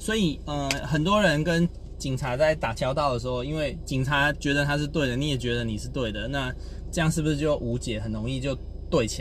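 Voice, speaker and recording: Background noise and audible room echo surround a man talking at a medium pace. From Taiwan. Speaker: podcast host, communication coach. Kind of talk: casual storytelling monologue. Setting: in a car, driving.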